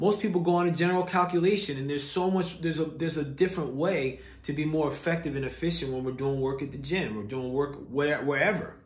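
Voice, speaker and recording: Audible room echo surrounds a man speaking at a very fast pace with ordinary pitch variation. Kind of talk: casual vlog advice talk. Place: home room. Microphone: phone near.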